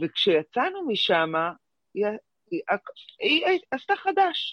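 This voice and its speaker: A woman is speaking. She goes at a very slow pace. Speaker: participant in spiritual class. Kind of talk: personal sharing.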